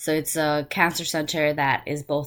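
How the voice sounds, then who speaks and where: Speaking with a New York accent, a woman keeps a fairly slow pace. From New York City, the Bronx. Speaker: graduate student. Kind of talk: self-introduction monologue. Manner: halting, many fillers.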